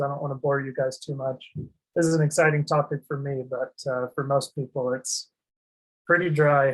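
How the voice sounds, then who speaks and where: Somewhat breathy and fairly high in pitch, a man speaks at a moderate pace with fairly even intonation. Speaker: asset protection and tax planning advisor. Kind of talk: webinar presentation. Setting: online webinar. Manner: monotone; hesitant, many fillers and restarts.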